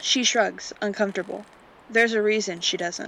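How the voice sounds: The intonation stays fairly even in this natural reading voice.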